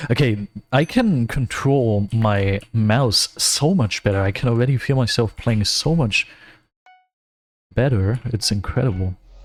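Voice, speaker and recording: A somewhat breathy man speaks at a fairly slow pace with a medium pitch and ordinary pitch variation. His loudness stays very even throughout. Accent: German. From Germany. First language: German. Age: 20s. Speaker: gaming streamer. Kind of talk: gameplay livestream commentary. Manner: casual, with frequent fillers and self-corrections.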